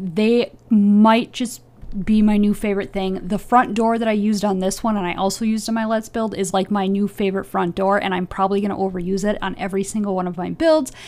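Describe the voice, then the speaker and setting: Soft-spoken, a woman talks at a fairly quick pace. Her intonation stays fairly even. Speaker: gaming youtuber. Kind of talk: voiceover commentary. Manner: hesitant, filler words.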